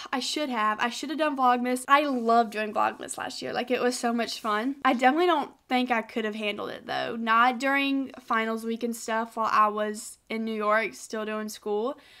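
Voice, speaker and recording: A woman speaks in a Southern US accent at a moderate pace and a fairly high pitch, her tone bright and sharp. The recording is very clean, with a silent background. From South Carolina. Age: 20s. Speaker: college student. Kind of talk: casual chit-chat vlog to camera.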